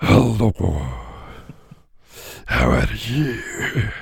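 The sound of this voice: A man's raspy, put-on character voice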